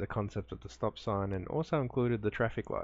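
Speaking at a fairly quick pace, a normal speaking voice shows ordinary pitch variation. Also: man. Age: 30s. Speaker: gaming youtuber. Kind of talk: let's play commentary. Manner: casual, laughing often.

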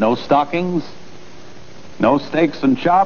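Fairly high-pitched male voice, upbeat in tone, at a moderate pace, with noticeable background noise. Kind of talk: 1940s radio cigarette commercial, scripted sales pitch. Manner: brisk, upbeat, polished announcer delivery with emphatic, persuasive emphasis.

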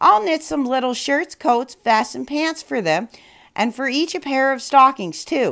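Speaking in a put-on character voice, a woman pitches high with a fairly bright tone and vocal fry. Her intonation is lively and her pace fairly slow.

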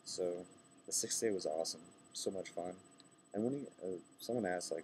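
Over light background noise, a man with a very deep, low pitch talks at a fairly quick pace with fairly even intonation. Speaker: vlogger. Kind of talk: casual vlog chat. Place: station. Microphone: webcam.

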